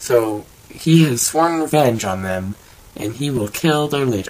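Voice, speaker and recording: Lively intonation marks a man's speech, heard over noticeable background noise. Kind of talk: improvised cartoon narration. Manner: slight lisp.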